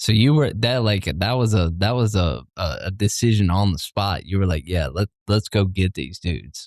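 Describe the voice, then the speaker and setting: A man's fairly low voice in a strong Southern US accent, with lively intonation, a moderate pace and hardly any pauses. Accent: heavy Southern country. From US South. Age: 30s. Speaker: podcast host, military veteran. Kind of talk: casual chat.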